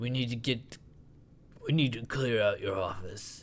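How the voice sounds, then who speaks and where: Over clear background noise, a man does a put-on character voice at a medium pitch, fairly slow, with ordinary pitch variation. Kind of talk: let's play commentary. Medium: actual play. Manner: stern, authoritative.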